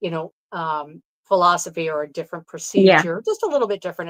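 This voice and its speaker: The woman's voice sits fairly low in pitch. The sound is dry and close, with no echo. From New York State. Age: 60s. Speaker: Reiki practitioner. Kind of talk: interview answer.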